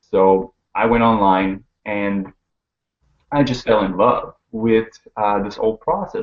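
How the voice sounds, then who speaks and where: This man speaks with a French accent. His pitch is fairly low and his pace fairly slow. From Quebec, Montreal. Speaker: network marketer. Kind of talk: casual interview. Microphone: horrible connection, cutting out.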